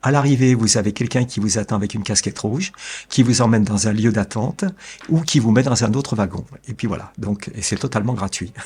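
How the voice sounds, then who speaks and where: Speaking at a fairly quick pace, a man with a medium pitch sounds somewhat breathy, with ordinary pitch variation. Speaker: family caregiver. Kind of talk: interview. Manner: calm, measured; hesitant.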